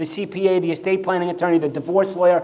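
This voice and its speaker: A man with an American accent speaks in an animated tone. Noticeable background noise and audible room echo surround him. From New York. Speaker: mortgage business coach. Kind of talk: conference presentation. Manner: fast.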